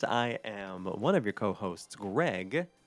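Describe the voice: A man puts on a nasal character voice at a fairly low pitch. He goes at a fairly slow pace on a very clean recording with a silent background.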